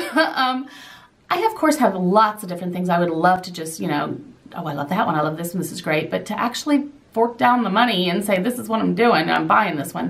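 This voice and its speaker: Over noticeable background noise, a woman with an American accent speaks fairly quickly at a medium pitch. Her pitch swings very widely, and her loudness swings a lot too. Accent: slight southern twang at times. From southern Indiana. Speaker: lifestyle vlogger. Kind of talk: Q&A vlog.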